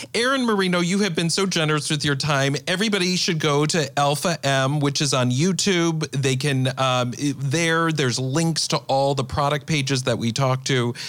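At a moderate pace, a man with a fairly high pitch talks with very even loudness. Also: ordinary pitch variation, hardly any pauses. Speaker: podcast host. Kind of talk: interview. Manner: animated.

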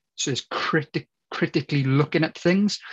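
A somewhat breathy man with a strong Welsh accent speaks with ordinary pitch variation in a dry, close sound with no echo. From Wales. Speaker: football coach educator. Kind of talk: interview.

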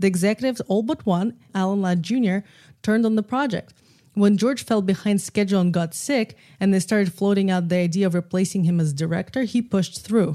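Speaking with a Russian accent, a woman uses a medium pitch with ordinary variation and a dark, mellow tone at a fairly quick pace. Her loudness is very even, and the recording is very clean with a silent background. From Russia, Moscow. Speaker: film and podcast producer. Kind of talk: casual chat.

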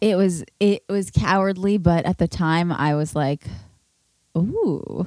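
A woman speaks at a very slow pace, her pitch fairly low and varied in an ordinary way. The sound is dry and close, with no echo. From New York City. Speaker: podcast host. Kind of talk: casual chat. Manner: soft-spoken.

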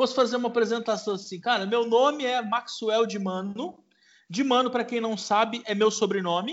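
This man speaks at a moderate pace in an extremely high pitch, with ordinary pitch variation. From interior of São Paulo state, Marília. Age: 40s. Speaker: chef and barbecue cook. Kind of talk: casual interview.

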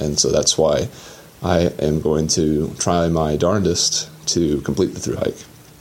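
With an American accent and fairly even intonation, a man talks at a very deep, low pitch over noticeable background noise. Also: fairly slow pace, very even loudness. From Atlanta, Georgia, US. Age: 20s. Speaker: thru hiker. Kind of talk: solo audio diary.

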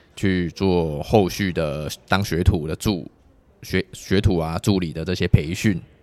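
With fairly even intonation, the words come at a very slow pace. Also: man, very deep, low pitch for a man, very clean recording, silent background. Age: 20s. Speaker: traditional massage therapist. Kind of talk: casual interview.

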